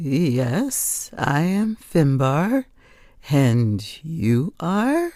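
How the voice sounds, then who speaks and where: A woman puts on a character voice with a very deep, low pitch and a gentle tone. She speaks at a very slow pace, and her pitch swings very widely. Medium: read story. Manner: gentle, polite.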